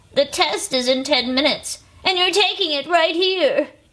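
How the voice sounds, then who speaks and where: A woman's put-on character voice, extremely high-pitched and mumbling, with lively intonation at a moderate pace. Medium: read story. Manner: mumbling, fretful.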